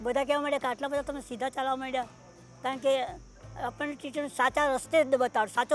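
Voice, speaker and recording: A woman speaks in a high pitch with flat, monotone intonation. Music plays in the background. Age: 80s+. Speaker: retirement home resident. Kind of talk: interview answer.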